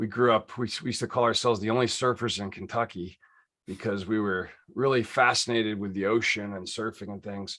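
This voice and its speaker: A bright, sharp voice with an American accent, fairly even intonation and a fairly quick pace, on a very clean recording with a silent background. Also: man, fairly low pitch for a man. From Pittsburgh, Pennsylvania. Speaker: consultant and former Marine. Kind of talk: podcast interview. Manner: conversational with fillers.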